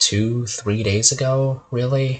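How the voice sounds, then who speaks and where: A man speaks in a somewhat breathy voice. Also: quiet background. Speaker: game developer and streamer. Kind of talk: casual monologue. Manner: monotone; rambling, halting.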